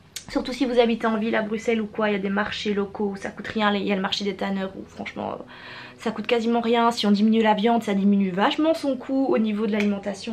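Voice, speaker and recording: Over noticeable background noise, a woman talks at a very fast pace, with a medium pitch and fairly even intonation. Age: 20s. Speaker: beauty youtuber. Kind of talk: casual chat.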